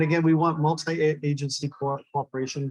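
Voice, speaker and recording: The speaker moves at a fairly quick pace with a somewhat breathy voice. The intonation stays fairly even. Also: man. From California. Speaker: disaster preparedness organization representative. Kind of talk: conference presentation.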